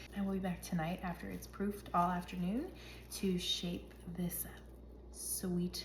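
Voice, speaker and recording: A woman speaks at a moderate pace. Audible room echo is present. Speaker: home baker vlogger. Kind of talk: tutorial. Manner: casual.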